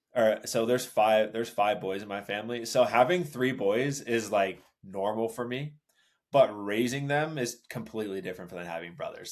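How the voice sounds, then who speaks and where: On a very clean recording with a silent background, a man with an American accent talks at a moderate pace, medium in pitch with ordinary pitch variation. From Los Angeles, US. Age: 30s. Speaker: father sharing his story. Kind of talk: casual interview conversation.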